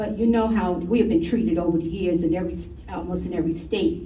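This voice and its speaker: A woman's very fast speech amid noticeable background noise and audible room echo. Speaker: resident speaking at public comment. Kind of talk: public comment at town meeting. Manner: halting. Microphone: too far from microphone at first.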